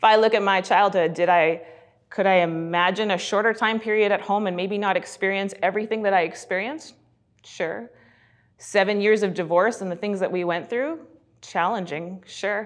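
Over a quiet background, a woman with a Canadian accent and an ordinary speaking voice talks at a moderate pace with medium pitch and ordinary pitch variation. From western Canada (Alberta, then Fraser Valley, BC). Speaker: children's pastor. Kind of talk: sermon.

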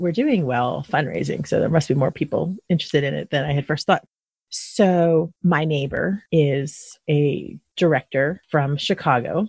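In an American accent, a woman talks at a fairly slow pace in a very deep, low voice that is somewhat breathy, with a dry, close sound and no echo. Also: ordinary pitch variation. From Philadelphia, then South Jersey. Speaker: podcast host. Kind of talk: interview.

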